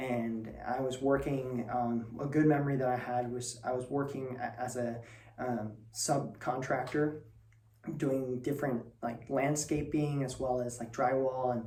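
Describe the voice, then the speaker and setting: With noticeable background noise and audible room echo, a man at medium pitch speaks fairly slowly in a monotone, flat intonation. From northern Spain. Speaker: student presenter. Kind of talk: personal talk. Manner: hesitant, many fillers.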